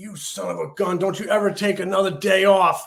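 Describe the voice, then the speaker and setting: A man puts on a raspy character voice, high-pitched and fairly quick. His loudness swings widely. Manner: pinched, nasal.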